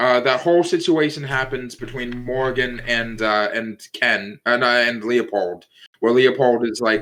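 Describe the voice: The recording captures someone plainly reading a text aloud.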